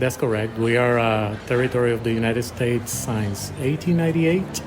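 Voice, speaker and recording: A man with a Puerto Rican accent speaks at medium pitch and a fairly quick pace, with ordinary pitch variation and very even loudness. The recording carries audible room echo and noticeable background noise. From Puerto Rico. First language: Spanish. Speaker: emergency physician. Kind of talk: casual interview. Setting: coffee shop. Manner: hesitant, many fillers.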